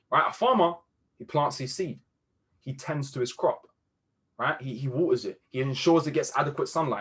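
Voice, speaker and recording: A man's animated, somewhat breathy voice, fairly high in pitch, with lively intonation. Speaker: trading mentor. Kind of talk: motivational talk on a group video call. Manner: fast.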